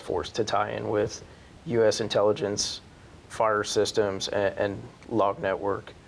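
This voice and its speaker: A man's plain, everyday voice with an American accent, medium pitch, fairly even intonation and a fairly slow pace. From northeastern Pennsylvania. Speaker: army senior sergeant. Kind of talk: interview.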